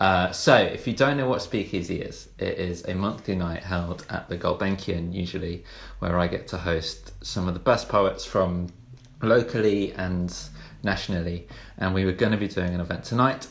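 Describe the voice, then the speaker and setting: At a very deep, low pitch, a man talks at a moderate pace in a somewhat breathy voice with ordinary pitch variation. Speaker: poet and event host. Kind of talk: casual livestream hosting.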